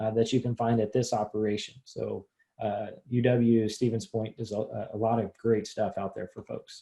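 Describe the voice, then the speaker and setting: This man's voice has a dark, mellow tone, sits at a medium pitch, and comes across somewhat breathy. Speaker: extension educator. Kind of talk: webinar presentation.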